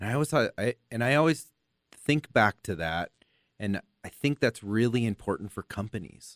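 Speaking at a moderate pace, a man has an ordinary speaking voice and an American accent. His pitch is medium and his intonation lively. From US, Los Angeles. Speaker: podcast host. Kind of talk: casual interview chat.

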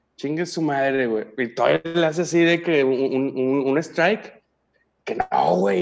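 A man talks with a Mexican accent at a fairly slow pace. His pitch is fairly high. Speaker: podcast guest. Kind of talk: casual chat, joke telling. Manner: animated.

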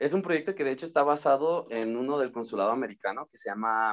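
A man with an ordinary speaking voice talks at a medium pitch with ordinary pitch variation. His pace is fairly quick, and the recording is very clean with a silent background. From Mexico, Uruapan, Michoacán. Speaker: English teacher. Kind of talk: interview.

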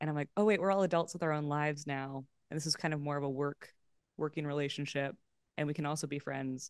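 A woman's very deep, low voice with a Californian accent, very fast pace, quiet background. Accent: Californian American. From Los Angeles, California. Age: 30s. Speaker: improv comedian and actor. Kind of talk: casual chat. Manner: animated.

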